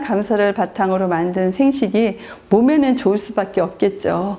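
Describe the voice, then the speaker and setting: A woman talks at a fairly slow pace with lively intonation. Noticeable background noise runs under her voice. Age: 60s. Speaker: network marketing leader. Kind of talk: seminar presentation. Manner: formal.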